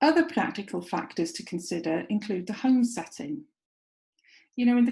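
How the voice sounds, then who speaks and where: Heard in a very clean recording with a silent background, a woman in a North Welsh accent speaks at a fairly high pitch with vocal fry. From North Wales. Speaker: clinical psychologist and university lecturer. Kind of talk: recorded lecture presentation.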